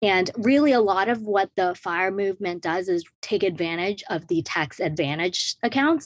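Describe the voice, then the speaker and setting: Lively in intonation, a woman speaks at medium pitch in a plain, everyday voice. The recording is very clean, with a silent background. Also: moderate pace, hardly any pauses. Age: 20s. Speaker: personal finance influencer. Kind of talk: interview.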